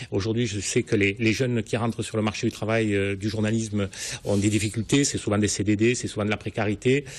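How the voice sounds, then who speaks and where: A man's somewhat breathy, fairly low voice at a fairly quick pace. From southern France, Languedoc (Sète). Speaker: newspaper editor-in-chief. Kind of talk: TV interview.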